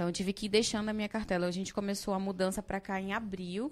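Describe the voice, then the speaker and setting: Recorded very cleanly against a silent background, a woman of medium pitch uses fairly even intonation in a plain, everyday voice. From Amazonas, Brazil. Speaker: dental surgeon. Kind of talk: interview storytelling.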